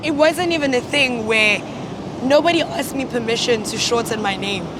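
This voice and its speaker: A woman with a South African accent speaks at high pitch with ordinary pitch variation. Noticeable background noise and audible room echo fill the recording. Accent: anglicised South African English, rolled R's. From South Africa, Cape Town. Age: young. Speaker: interviewee. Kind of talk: documentary interview. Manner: halting.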